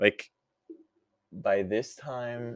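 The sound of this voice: This man's voice carries a slightly mellow tone.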